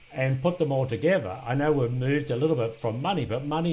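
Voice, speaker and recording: There is audible room echo as a man speaks at a fairly quick pace, somewhat breathy, with ordinary pitch variation. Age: 60s. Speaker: podcast host and business exit trainer. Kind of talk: interview conversation. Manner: halting.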